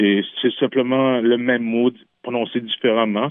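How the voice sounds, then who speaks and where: This is a man speaking at a fairly slow pace. His intonation stays fairly even. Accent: Quebec. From Quebec, Innu nation. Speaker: singer-songwriter. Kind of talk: radio interview. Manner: halting, frequent repetitions.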